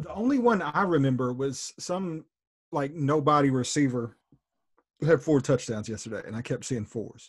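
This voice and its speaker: A somewhat breathy voice with lively intonation and an animated tone moves at a moderate pace. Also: man, fairly high pitch for a man. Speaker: podcast co-host. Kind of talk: casual sports podcast chat. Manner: animated, profane.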